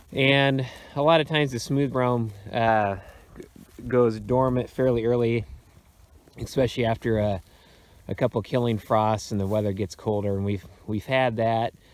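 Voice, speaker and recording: At a moderate pace, a man talks with fairly even intonation and long, frequent pauses, in a dry sound with no echo. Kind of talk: casual walk-through commentary. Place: open country. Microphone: phone near.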